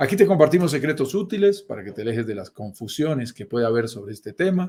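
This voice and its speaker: A man speaks with a Colombian accent in a dark, mellow tone. His voice is somewhat breathy and swings very widely in pitch. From Colombia, mountain region. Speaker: real estate investment host. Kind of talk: live stream talk show.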